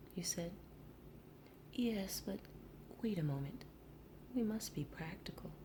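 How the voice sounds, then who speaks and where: A soft-spoken whisper at a fairly slow pace, with noticeable background noise. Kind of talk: storybook narration read aloud. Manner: whispered, soft.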